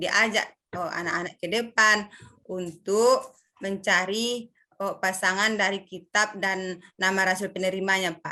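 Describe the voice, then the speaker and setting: A woman with a medium pitch and a bright, sharp tone talks at a fairly slow pace in a monotone, flat intonation. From North Sumatra, Mandailing. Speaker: teacher candidate. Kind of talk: oral exam answers. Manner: halting, hesitant.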